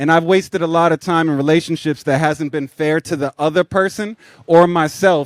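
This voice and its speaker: With an American accent, a man speaks at a fairly quick pace with ordinary pitch variation in an unremarkable speaking voice, the sound dry and close with no echo. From Boston, US Northeast. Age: 30s. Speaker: stand-up comedian. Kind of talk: live show interview, casual chat. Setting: stage with live audience.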